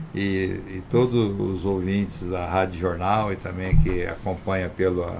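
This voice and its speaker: Speaking at a fairly slow pace, a man with a very deep, low voice comes through noticeable background noise and audible room echo. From São Paulo interior, Brazil (Barretos). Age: 60s. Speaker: former local politician. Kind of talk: radio talk show. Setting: radio studio.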